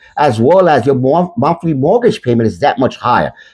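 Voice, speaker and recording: A man's fairly high, fairly quick voice with vocal fry and very wide pitch swings, set against a quiet background. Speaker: real estate broker. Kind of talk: promotional talk to camera. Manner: halting.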